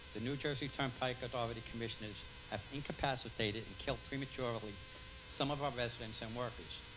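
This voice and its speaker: A man's medium-pitched voice at a fairly quick pace, with noticeable background noise and audible room echo. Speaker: public commenter at council meeting. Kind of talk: reading aloud. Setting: public meeting. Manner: fast.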